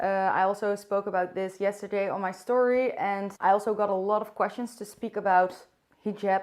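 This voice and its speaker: A woman with a Dutch accent, monotone and flat in intonation at a medium pitch, at a fairly quick pace against a quiet background. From Netherlands. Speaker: vlogger. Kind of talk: casual vlog talk to camera. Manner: unscripted, hesitant at times.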